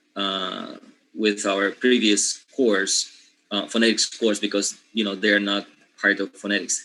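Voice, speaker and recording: Fairly low in pitch, a man speaks slowly-ish at a fairly slow pace, with a bright, sharp tone and monotone, flat intonation. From Panama. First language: Spanish. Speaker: linguistics teacher. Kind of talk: lecture. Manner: hesitant, many fillers.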